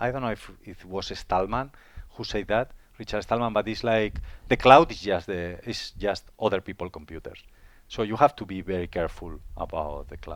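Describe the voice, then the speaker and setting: Delivered with a Spanish accent, the speech shows big swings in loudness on a very clean recording with a silent background. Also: man, fairly low pitch for a man, ordinary pitch variation, moderate pace. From Spain. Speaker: IT manager. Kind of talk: interview. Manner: halting, frequent repetitions.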